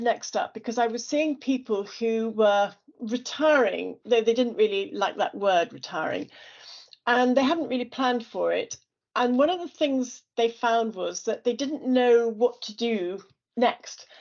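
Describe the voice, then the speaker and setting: In an English accent, a woman speaks fairly slowly at a high pitch with ordinary pitch variation. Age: 60s. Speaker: business founder. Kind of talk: presentation.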